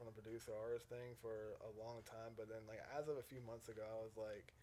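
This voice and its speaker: This man talks fairly quickly. He has an American accent. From South Carolina, Myrtle Beach. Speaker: music producer and DJ. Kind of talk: podcast interview. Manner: casual, halting with many fillers.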